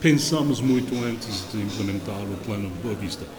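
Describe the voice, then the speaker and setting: The speaker has an English accent and lively intonation. Audible room echo and noticeable background noise come through. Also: man. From northern England. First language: English (speaking Portuguese). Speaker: wine producer. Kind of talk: interview.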